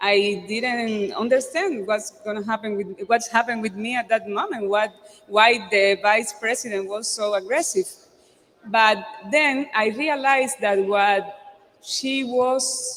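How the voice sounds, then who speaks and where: A woman with a Cuban accent speaks at a fairly slow pace and fairly high pitch, with ordinary pitch variation and noticeable background noise. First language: Spanish. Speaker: actress and theater director. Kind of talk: talk at a public event. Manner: halting, many fillers.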